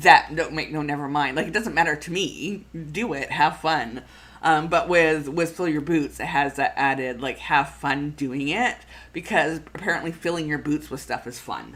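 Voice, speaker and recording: The delivery is animated and moves at a moderate pace. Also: woman, very deep, low pitch for a woman, ordinary pitch variation. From Canada. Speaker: food photographer and planning channel host. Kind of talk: casual live-stream chat. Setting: live stream. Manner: animated, with many fillers and repeats.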